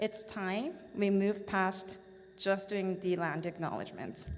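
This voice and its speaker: A woman speaks with a Korean accent. Her pitch sits in the medium range. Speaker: business association board chair. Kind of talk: formal speech. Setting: stage at event with audience.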